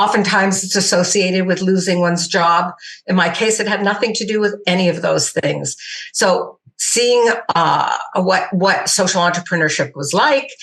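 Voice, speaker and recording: Moderately paced speech from a woman, ordinary in pitch variation, against noticeable background noise. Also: medium pitch for a woman. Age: 60s. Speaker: social entrepreneur. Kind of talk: interview. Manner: hesitant.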